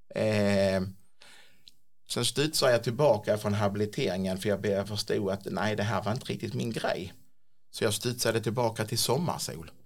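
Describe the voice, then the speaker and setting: A man's fairly low voice with ordinary pitch variation and a moderate pace, in a very clean recording with a silent background. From Skåne, Sweden (Klippan). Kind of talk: interview. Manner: halting, repetitive.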